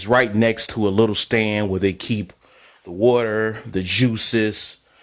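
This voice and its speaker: A man with an American accent, fairly low in pitch, with a plain, everyday voice. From US, Chicago. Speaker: travel vlogger. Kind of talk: casual storytelling monologue.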